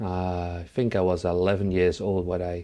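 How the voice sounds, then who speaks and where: A man's dark, mellow voice with a Dutch accent. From Netherlands. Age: 30s. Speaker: music producer. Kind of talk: interview. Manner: halting, many fillers.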